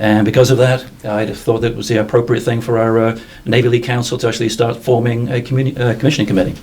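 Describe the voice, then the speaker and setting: A man talks very fast at a medium pitch with a slight English accent. His intonation is flat and monotone, with noticeable background noise. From England. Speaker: naval support organization chairman. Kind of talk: interview.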